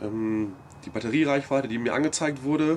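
A man talks at a moderate pace with lively intonation. Light background noise can be heard. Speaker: vlogger. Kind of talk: casual vlog recap. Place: street. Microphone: camera far.

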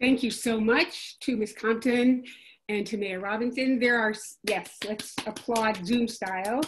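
A woman talks at a fairly slow pace in a fairly high pitch, sounding somewhat breathy. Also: fairly even intonation. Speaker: Q&A moderator. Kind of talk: Q&A moderation. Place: home room. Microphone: video call.

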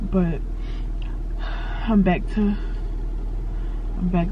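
A woman speaks very slowly with fairly even intonation, the sound dry and free of echo. Background noise is noticeable. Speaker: vlogger. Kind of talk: casual vlog chat. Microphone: phone near.

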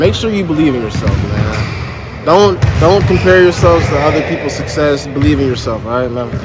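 A man speaks at a fairly quick pace with hardly any pauses. Loud background noise runs under his voice. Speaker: vlogger. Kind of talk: casual vlog chat. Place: hall. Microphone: phone near.

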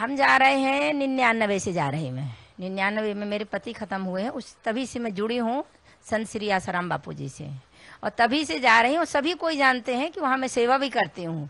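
A woman's fairly high voice with very wide pitch swings, dry and free of echo. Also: moderate pace. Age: old. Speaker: ashram devotee alleging threats; woman giving her account to news reporter. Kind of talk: interview testimony. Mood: aggrieved, earnest complaint. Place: home room. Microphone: handheld.

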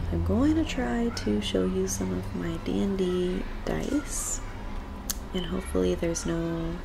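A soft-spoken woman at a very slow pace, with noticeable background noise. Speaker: ASMR creator. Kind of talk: ASMR soft-spoken rambling. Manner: casual, rambling. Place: home room. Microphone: webcam.

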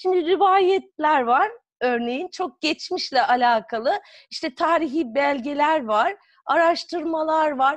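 A woman speaks at a very slow pace in a high voice. The background is quiet. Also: ordinary pitch variation. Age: 40s. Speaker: psychotherapist and author; guest. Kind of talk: interview. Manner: hesitant, many fillers. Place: home room. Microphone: video call.

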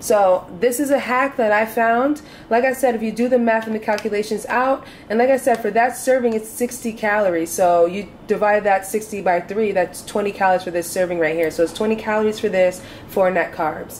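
There is light background noise as a woman speaks. Her pace is fairly quick and her pitch varies in an ordinary way. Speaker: home cook vlogger. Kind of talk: tutorial. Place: kitchen.

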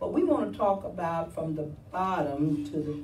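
A woman with a very deep, low pitch speaks very slowly amid light background noise and audible room echo. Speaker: preacher. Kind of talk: sermon. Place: church. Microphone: camera far.

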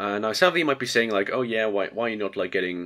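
In a very clean recording with a silent background, a man with a fairly low pitch speaks in a nasal voice with a bright, sharp tone. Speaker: electronics hobbyist. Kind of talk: casual tutorial talk to camera. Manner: hesitant, filler-heavy.

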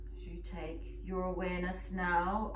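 A woman speaks. Noticeable background noise is present. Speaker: yoga and meditation teacher. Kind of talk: guided meditation. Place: home room. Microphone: camera far.

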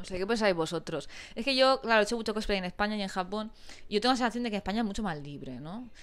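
Speaking at a very fast pace, the woman has a medium pitch. Her intonation is lively. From Spain. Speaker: YouTuber. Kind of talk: casual chat. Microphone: lapel.

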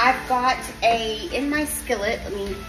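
Clear music plays in the background as a woman speaks with ordinary pitch variation. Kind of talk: cooking tutorial. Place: kitchen. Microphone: phone near.

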